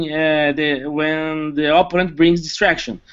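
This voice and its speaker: A man with a fairly high pitch and a non-native accent. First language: not English. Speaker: competitive game player. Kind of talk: post-match interview. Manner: halting, many fillers.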